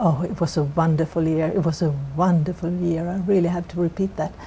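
Speaking fairly quickly with a Swedish accent, a woman keeps fairly even intonation at a fairly low pitch. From Sweden. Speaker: corporate lawyer. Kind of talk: interview. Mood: warm, reflective. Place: office.

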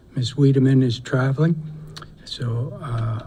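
Noticeable background noise under a man's fairly even, medium-pitched speech. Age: 60s. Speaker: school board member chairing meeting. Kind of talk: formal meeting chairing. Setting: school board meeting.

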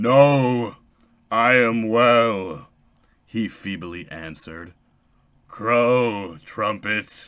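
In a put-on character voice, a man with a medium pitch talks at a very slow pace with long, frequent pauses, on a very clean recording with a silent background. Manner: wildly ecstatic at the end.

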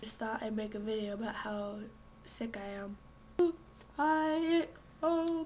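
A very slow pace, somewhat breathy, with long, frequent pauses. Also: woman, fairly high pitch for a woman. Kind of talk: casual talk to camera.

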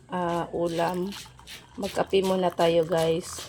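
A woman's fairly low-pitched voice amid noticeable background noise. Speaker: vlogger, mother. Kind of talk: casual vlog narration.

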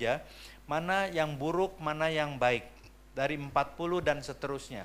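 Pacing himself moderately, a man speaks at a fairly high pitch with ordinary pitch variation. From Jakarta, Indonesia. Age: 60s. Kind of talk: seminar lecture. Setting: seminar room with audience. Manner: animated. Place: hall. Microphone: handheld.

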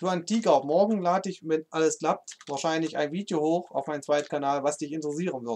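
This man talks at a fairly quick pace with an East German accent. His voice is fairly high, with ordinary pitch variation. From eastern Germany. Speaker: gaming streamer. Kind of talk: live stream chat while gaming. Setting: live stream. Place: home room.

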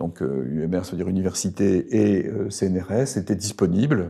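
A man at a very slow pace, fairly low in pitch, with a dark, mellow tone against a quiet background. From northern France, Arras; France. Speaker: professor emeritus; professor emeritus, interviewee. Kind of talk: interview. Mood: calm, reflective. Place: home room. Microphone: lapel.

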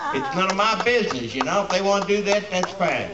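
Over noticeable background noise, a man with a Kentucky accent is shouting. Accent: Kentucky Southern US. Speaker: rally speaker, gun rights activist. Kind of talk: rally speech. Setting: outdoor rally with crowd. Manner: fiery, defiant, blunt, plainspoken; rambling, conversational, shouting to a crowd. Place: street. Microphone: camera far.

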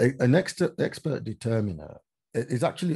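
A man speaks at a moderate pace with very wide pitch swings against a quiet background. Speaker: interviewee. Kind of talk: interview answer. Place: home room. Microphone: video call.

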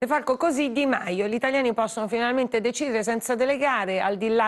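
A woman speaks at a fairly quick pace with ordinary pitch variation. The background is quiet. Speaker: news host. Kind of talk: live TV news talk, moderating. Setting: studio. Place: studio. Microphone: lapel.

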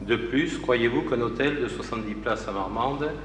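Audible room echo and light background noise accompany a man talking at a fairly slow pace with ordinary pitch variation. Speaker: opposition councillor. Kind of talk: council meeting. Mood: critical, argumentative. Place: hall. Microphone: podium.

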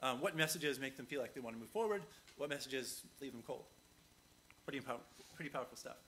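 Very fast speech from a man, bright and sharp in tone, fairly high in pitch, with ordinary pitch variation, long and frequent pauses, and light background noise. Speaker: conference speaker. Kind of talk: conference talk; audience Q&A. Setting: stage with audience. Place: hall.

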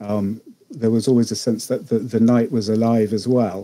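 A man speaks with a dark, mellow tone. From Zimbabwe. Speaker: fantasy writer and podcast narrator. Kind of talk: casual interview chat.

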